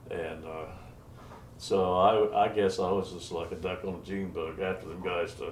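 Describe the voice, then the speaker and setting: A man with an American accent speaks in a very deep, low pitch at a moderate pace, his intonation flat and monotone. His loudness swings widely, and room echo is audible. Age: 80s+. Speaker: retired musician and songwriter. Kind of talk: oral history interview. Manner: halting, many fillers.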